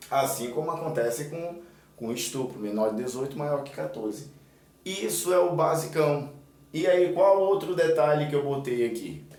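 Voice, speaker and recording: A man talks at a moderate pace with a fairly high pitch and ordinary pitch variation. There is audible room echo and noticeable background noise. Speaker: exam prep teacher. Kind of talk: tutorial.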